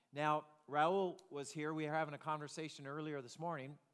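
A man with a plain, everyday voice speaks at a moderate pace with a fairly high pitch. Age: 50s. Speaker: pastor. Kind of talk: sermon.

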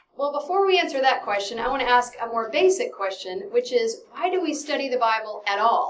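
With a slight Texan accent, a woman speaks at a high pitch with very wide pitch swings. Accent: slight Texan, hardly noticeable. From Texas (Dallas). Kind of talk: Bible study lesson. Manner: fast; animated.

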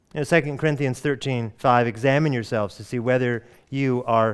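The background is quiet as a man with an American accent speaks at a moderate pace. His medium-pitched voice shows ordinary pitch variation. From US Pacific Northwest, Oregon. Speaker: pastor. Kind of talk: sermon. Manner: halting.

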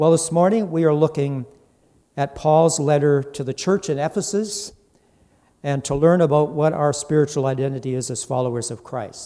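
A fairly high-pitched man with a dark, mellow tone and ordinary pitch variation. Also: moderate pace. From Ireland. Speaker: guest preacher. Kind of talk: sermon. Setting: church.

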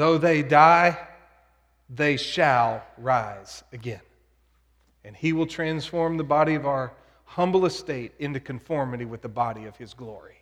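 An American-accented man speaks at a fairly slow pace, with long, frequent pauses, big swings in loudness and ordinary pitch variation. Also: fairly high pitch for a man. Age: 40s. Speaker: pastor. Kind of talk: sermon.

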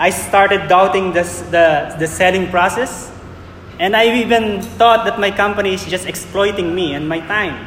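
Over noticeable background noise and audible room echo, a man with a high pitch speaks at a moderate pace with fairly even intonation. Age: 40s. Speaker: preacher. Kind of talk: sermon.

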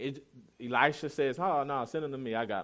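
Against a quiet background, the speaker goes at a moderate pace with fairly even intonation. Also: man. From US South. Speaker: pastor. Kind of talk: sermon.

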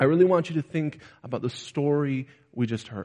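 A man at a moderate pace. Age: 20s. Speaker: preacher. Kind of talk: sermon.

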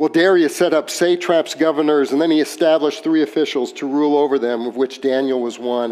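A man speaks in a plain, everyday voice, fairly high-pitched for a man, at a moderate pace with ordinary pitch variation. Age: 60s. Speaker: pastor. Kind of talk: sermon.

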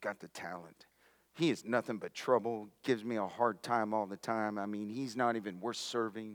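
Putting on a rumbling character voice, a man speaks fairly low at a moderate pace. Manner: disdainful, grumbling.

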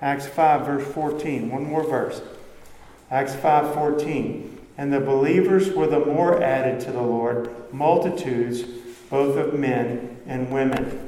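Over noticeable background noise, a man with a fairly high pitch speaks at a very slow pace, his intonation fairly even. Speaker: pastor. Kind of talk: sermon. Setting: church. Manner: fervent, rising intensity, preaching with urgent conviction; earnest, conversational, explaining.

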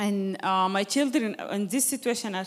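This is a woman speaking with an Arabic accent. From Sudan. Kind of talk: testimony.

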